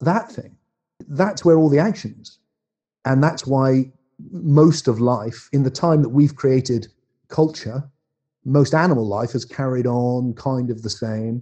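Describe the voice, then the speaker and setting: A man's somewhat breathy, dark, mellow voice at medium pitch, with an English accent, ordinary pitch variation and long, frequent pauses. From England. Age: 60s. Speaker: philosopher and author. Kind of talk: casual chat.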